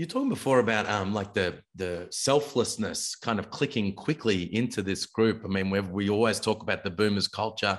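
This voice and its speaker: Moderate pace and ordinary pitch variation from a man with an Australian accent, over a quiet background. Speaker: basketball podcast host. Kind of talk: casual chat. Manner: animated.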